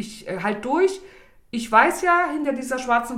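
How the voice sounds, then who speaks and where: Noticeable background noise fills the recording. Over it, a woman talks with lively intonation. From East Germany, Saxony (Bischofswerda). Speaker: self-employed coach, podcast guest. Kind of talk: casual interview chat.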